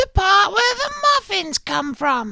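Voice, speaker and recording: A put-on character voice in an English accent, high in pitch, at a fairly slow pace. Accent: fake English. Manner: playful, joking.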